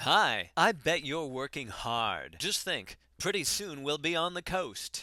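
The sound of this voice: A man's put-on character voice, fairly high in pitch, with a bright, sharp tone, big pitch swings and a slow pace.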